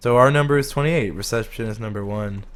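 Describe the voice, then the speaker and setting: A man speaks with ordinary pitch variation, and some room echo can be heard. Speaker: gaming youtuber. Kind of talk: let's play commentary.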